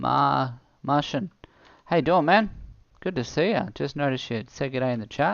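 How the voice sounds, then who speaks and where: A man with an Australian accent speaks at medium pitch, his voice showing vocal fry and very wide pitch swings. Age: 30s. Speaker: gaming streamer. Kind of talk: live gameplay stream chat. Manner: fast; casual, relaxed.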